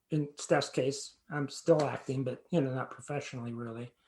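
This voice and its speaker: Somewhat breathy and fairly high, a man's voice moves at a fairly slow pace with fairly even intonation. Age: 60s. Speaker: playwright and actor. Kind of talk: interview conversation. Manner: halting, with many repeated words.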